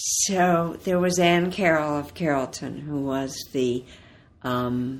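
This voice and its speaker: A woman's very deep, low voice in an Ohio accent, at a very slow pace. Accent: Northern US, Ohio, similar to host. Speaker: author. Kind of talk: interview conversation.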